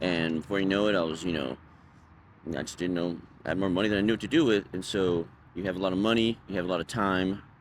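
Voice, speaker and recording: A man at a very fast pace, very deep and low in pitch, with ordinary pitch variation. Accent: American. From Texas, Dallas area (Richardson). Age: 30s. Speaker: homeless man interviewee. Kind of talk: interview, personal story.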